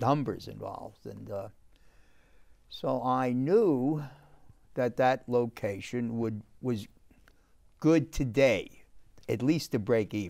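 A man with a New York accent and ordinary pitch variation over a quiet background. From New York City, the Bronx. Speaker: restaurateur; guest. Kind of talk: casual chat. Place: studio.

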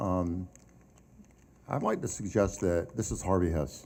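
This man's tone comes across as dark and mellow. His pace is moderate. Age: 70s. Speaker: school board member. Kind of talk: public board meeting discussion.

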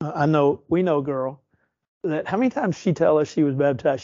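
Here a man with a normal speaking voice and fairly high pitch talks at a fairly quick pace. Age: 60s. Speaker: preacher. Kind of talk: bible study lesson.

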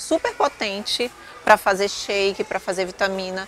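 Speaking at a moderate pace with fairly even intonation, a woman is heard in a dry sound with no echo as faint music plays in the background. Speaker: vlogger. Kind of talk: casual vlog chat. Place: shop. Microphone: phone near.

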